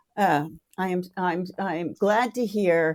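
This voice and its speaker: The tone is dark and mellow, and the pace very slow. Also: woman. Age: 60s. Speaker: entertainment industry worker. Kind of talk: casual chat. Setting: video call. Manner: animated.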